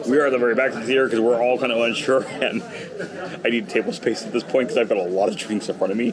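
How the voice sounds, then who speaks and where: Over noticeable background noise, a man at medium pitch speaks very fast with ordinary pitch variation. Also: very even loudness. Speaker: travel vlogger. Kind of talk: casual vlog chat. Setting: cruise ship theater and bar.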